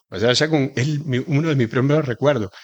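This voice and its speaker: A man with an Argentine accent, moderate pace and ordinary pitch variation, on a very clean recording with a silent background. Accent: Argentine, marked. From Argentina, rural Buenos Aires province. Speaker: chef and pastry cook. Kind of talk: interview.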